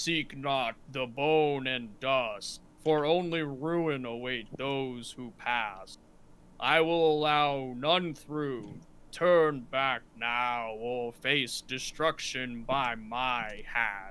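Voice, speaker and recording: In a booming, put-on character voice, a man speaks at a medium pitch and a very slow pace. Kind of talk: archaic, formal. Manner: menacing, commanding.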